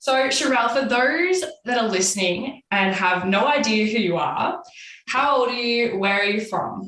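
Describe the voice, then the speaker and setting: This woman speaks at a moderate pace with an Australian accent and lively intonation. Her loudness stays very even, and the room echo is audible. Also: fairly high pitch for a woman. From Australia, Victoria (Macedon Ranges). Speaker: podcast host, motivational speaker. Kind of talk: podcast interview.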